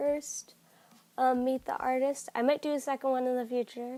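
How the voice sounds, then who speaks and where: A woman speaks in a dark, mellow tone. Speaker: digital artist. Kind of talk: casual voice-over talk through of a speedpaint.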